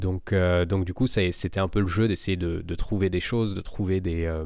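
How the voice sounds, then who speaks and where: The recording is very clean, and the background is silent. Intonation remains fairly even throughout. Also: man. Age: 30s. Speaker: hypnotherapist and sports mental coach. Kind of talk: interview. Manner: hesitant, many fillers.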